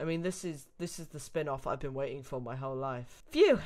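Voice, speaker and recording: The speaker has a British accent and keeps a moderate pace. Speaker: Let's Play gamer reading a story aloud. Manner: exasperated.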